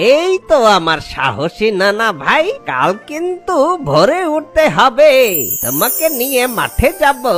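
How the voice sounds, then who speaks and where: A cartoonish character voice, fairly high in pitch with very wide pitch swings, at a very slow pace over clear music in the background. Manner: warm, storytelling.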